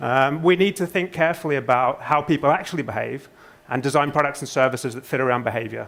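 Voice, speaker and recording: With a British accent, a man speaks very fast at a fairly high pitch, with ordinary pitch variation. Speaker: conference speaker, social psychologist. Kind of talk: conference presentation.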